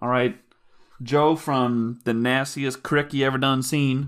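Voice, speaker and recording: A man with an unremarkable speaking voice, medium in pitch, fairly even in intonation, at a fairly slow pace, in a very clean recording with a silent background. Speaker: podcast co-host. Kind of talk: casual banter.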